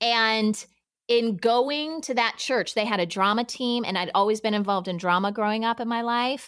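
Here is a woman with an unremarkable speaking voice, pitched fairly high. Her pitch varies in an ordinary way, and her pace is moderate. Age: 40s. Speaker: podcast producer and working mom. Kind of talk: casual interview chat. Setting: remote podcast recording.

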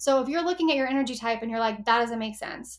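A woman with an American accent speaks at a high pitch. The recording is very clean, with a silent background. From Texas. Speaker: human design and astrology reader. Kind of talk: casual interview.

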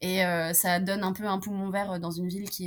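Moderate-paced talk from a woman in monotone, flat intonation. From France, Romanian mother. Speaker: French-Romanian traveller sharing her experience. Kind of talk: casual interview. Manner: hesitant, many fillers and repetitions.

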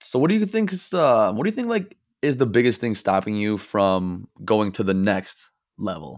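Speaking at a moderate pace, a man with a normal speaking voice and fairly low pitch is heard over a quiet background. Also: lively intonation. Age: 20s. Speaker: podcast host. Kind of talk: podcast interview. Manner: casual.

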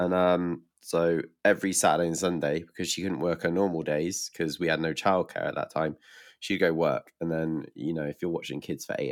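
A man with a British accent talks at a moderate pace, his pitch very deep and low. Vocal fry runs through his voice. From UK. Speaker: musician. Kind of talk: casual chat. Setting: video call.

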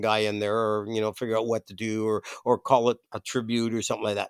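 Monotone, flat intonation in an Ontario accent at a fairly quick pace, with a dry, close sound, no echo, and a very clean recording with a silent background. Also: man. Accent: Canadian (Ontario). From Toronto, Canada. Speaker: musician, former bass player. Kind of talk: casual chat. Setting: host's basement. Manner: halting, many fillers.

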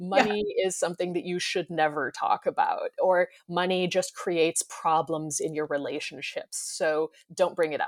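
A woman with an American accent at a moderate pace, dry and close with no echo. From United States. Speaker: startup co-founder. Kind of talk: interview. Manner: halting.

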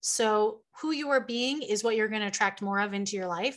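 Fairly high-pitched and with ordinary pitch variation, a woman's a normal speaking voice. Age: 30s. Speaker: spiritual life coach and singer-songwriter. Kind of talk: interview conversation.

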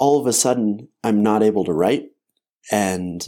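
A very slow male voice with an American accent, a dark, mellow tone and ordinary pitch variation, in a very clean recording over a silent background. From Colorado, Front Range. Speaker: therapeutic harp player. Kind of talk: interview conversation.

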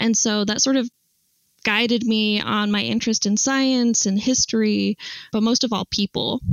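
A woman speaks in a normal speaking voice with an American accent. Her pitch is fairly high and her intonation fairly even. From Utah, US (Salt Lake City). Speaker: archaeology PhD student. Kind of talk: casual interview.

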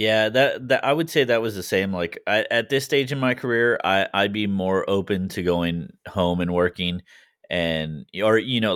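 A man with a normal speaking voice talks at a moderate pace with hardly any pauses, his pitch fairly low with ordinary variation. The recording is very clean, its background silent. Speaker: paratrooper. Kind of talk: casual chat.

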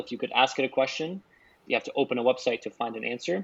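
A man talks at a very fast pace, his medium pitch showing ordinary pitch variation. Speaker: podcast co-host. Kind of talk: casual chat. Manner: excitable.

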